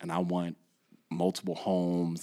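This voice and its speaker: Very deep and low, a man's dark, mellow voice comes through a very clean recording with a silent background. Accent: American. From Southern California, Inland Empire. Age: 30s. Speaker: former gym owner and youth mentor. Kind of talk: casual interview chat.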